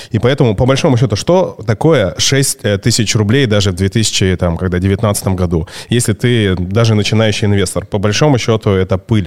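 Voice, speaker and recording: A man has a normal speaking voice with a fairly low pitch and ordinary pitch variation. He speaks at a moderate pace with very even loudness. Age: 40s. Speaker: podcast host. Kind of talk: casual chat. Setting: studio.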